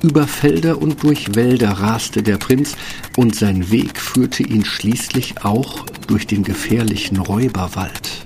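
A man's fairly low voice at a very slow pace, with ordinary pitch variation and noticeable background noise. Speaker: fairy tale narrator. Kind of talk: fairy tale narration, scripted storytelling. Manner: animated storyteller, expressive, mimicking sounds like 'Brrr'.

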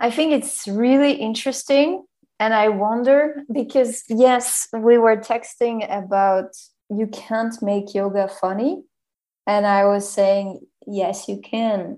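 A very slow pace in a German accent, dark, mellow tone and ordinary pitch variation against a quiet background. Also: woman. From Germany. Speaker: podcast host. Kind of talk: casual chat.

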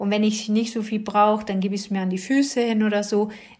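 A woman's fairly high pitch at a fairly quick pace, intonation fairly even, with audible room echo. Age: 50s. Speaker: podcast host, kinesiologist and essential oils advisor. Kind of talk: casual monologue.

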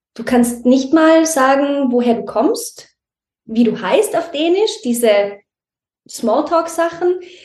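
A woman talks at a very slow pace with a high pitch and very wide pitch swings. The room echo is audible. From Austria, Tyrol near Innsbruck. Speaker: mother in a multilingual family. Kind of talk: interview conversation.

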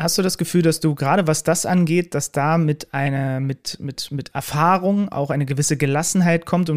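The man's delivery moves fairly quickly. His pitch stays fairly even throughout. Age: 30s. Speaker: podcast host and sports commentator. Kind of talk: interview conversation.

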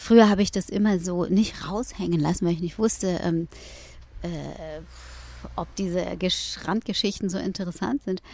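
Long, frequent pauses break up a woman's speech at a moderate pace. Her pitch is medium and her intonation fairly even. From Hamburg, northern Germany. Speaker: rapper turned yoga teacher. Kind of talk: interview. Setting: in a VW camper van.

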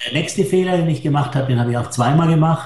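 A man talks with ordinary pitch variation. There is audible room echo. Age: 60s. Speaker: hotelier. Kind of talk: interview.

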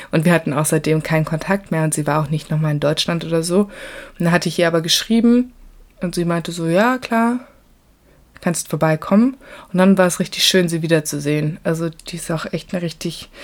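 Moderate-paced speech from a woman with a fairly low pitch and ordinary pitch variation. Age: 20s. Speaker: travel podcaster. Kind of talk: casual travel monologue. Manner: animated.

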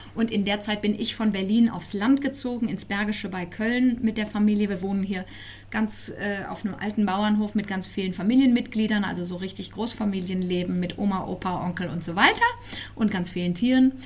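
A woman's normal speaking voice at medium pitch, fairly quick in pace, with fairly even intonation. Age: 40s. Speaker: parenting blogger and author. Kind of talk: interview. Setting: in person.

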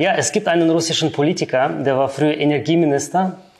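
A man's fairly high voice with a slight non-native accent, fairly even intonation and a moderate pace. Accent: slight foreign. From Kyrgyzstan, then Germany. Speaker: finance professional. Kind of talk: interview.

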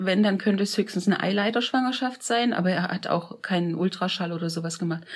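A woman speaks at a very fast pace with hardly any pauses. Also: medium pitch for a woman, ordinary pitch variation. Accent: slight Saxon. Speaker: interviewee, host's mother. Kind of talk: personal storytelling interview.

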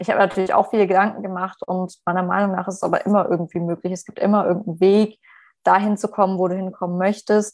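Medium-pitched and monotone, a woman's flat, fairly quick delivery against a quiet background. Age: 20s. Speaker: HR manager and career coach. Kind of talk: podcast interview.

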